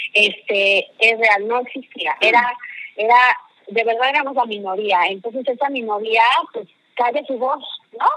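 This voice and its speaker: A woman's fairly high voice at a fairly slow pace, with ordinary pitch variation and long, frequent pauses. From Mexico. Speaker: marketing executive. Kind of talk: interview. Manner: animated.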